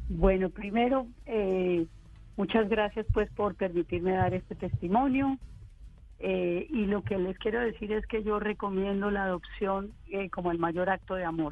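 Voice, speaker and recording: Ordinary pitch variation at a fairly slow pace, with music playing in the background. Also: woman, medium pitch for a woman. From Colombia, Armenia. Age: 50s. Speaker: adoptee, marketing expert. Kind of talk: testimony.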